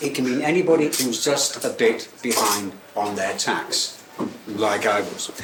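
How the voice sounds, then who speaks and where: Noticeable background noise and audible room echo surround a man whose fairly high voice has lively intonation. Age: 70s. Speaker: tailor and menswear shop owner. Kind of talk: talk to live audience. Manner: halting; cheerful.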